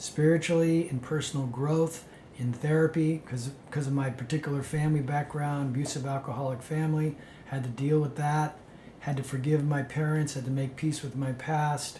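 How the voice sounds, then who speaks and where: An American accent marks this man's fairly high voice. His intonation is monotone and flat. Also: moderate pace. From San Francisco, California. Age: 60s. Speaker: spiritual speaker, monk. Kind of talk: spoken self-introduction to event organizers. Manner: halting, many fillers.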